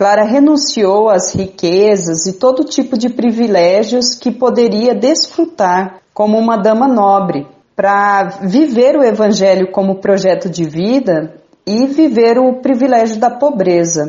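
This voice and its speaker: Here a woman has a plain, everyday voice. She keeps a fairly slow pace and very even loudness. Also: fairly high pitch for a woman, lively intonation. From Mato Grosso do Sul, Brazil (Bataiporã). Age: 30s. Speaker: Franciscan nun. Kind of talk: radio interview.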